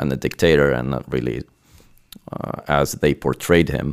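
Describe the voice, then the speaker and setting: There is vocal fry in this man's very deep, low voice, which has ordinary pitch variation. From Lebanon. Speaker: conductor. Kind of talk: interview.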